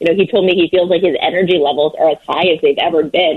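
A woman has an unremarkable speaking voice, fairly low in pitch. She moves at a fairly quick pace. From New Jersey. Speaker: sports reporter. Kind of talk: interview.

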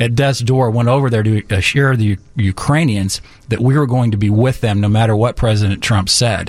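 Using a plain, everyday voice, a man speaks at a fairly quick pace with a medium pitch and ordinary pitch variation. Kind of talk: casual radio chat.

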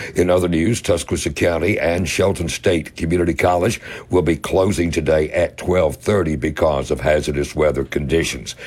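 Over noticeable background noise, a man with a very deep, low voice speaks with hardly any pauses, very even loudness and ordinary pitch variation. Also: moderate pace. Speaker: radio news and weather reader. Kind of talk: news reading.

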